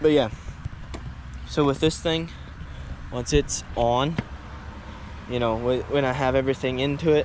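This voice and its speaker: There is noticeable background noise as a man speaks at a moderate pace. His pitch is medium, and he leaves long, frequent pauses. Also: fairly even intonation. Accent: American. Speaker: farmer and small-engine mechanic vlogger. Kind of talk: casual vlog narration. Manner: casual, with fillers and false starts; quiet.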